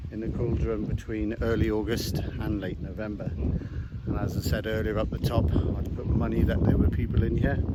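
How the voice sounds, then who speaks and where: Over noticeable background noise and audible room echo, a man with a fairly low pitch talks at a moderate pace. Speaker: outdoor vlogger. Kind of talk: casual vlog narration. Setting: outdoors. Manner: quiet.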